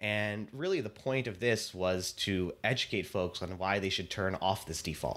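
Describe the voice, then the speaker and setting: Using an ordinary speaking voice, a man talks at a moderate pace and a fairly low pitch with ordinary pitch variation and hardly any pauses. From US Pacific Northwest, Seattle. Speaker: startup founder and CEO. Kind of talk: interview. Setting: remote call.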